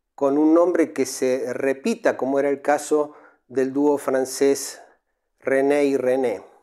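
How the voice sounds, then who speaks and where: Very slow and fairly high-pitched, a man speaks in a dark, mellow tone over a quiet background. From Argentina. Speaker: radio-style music history host. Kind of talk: scripted narration. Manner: formal. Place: home room. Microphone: lapel.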